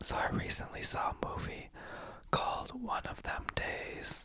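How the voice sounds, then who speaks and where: A man whispers at a fairly slow pace. Noticeable background noise sits behind him. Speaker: youtuber. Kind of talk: asmr movie review. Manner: whispering.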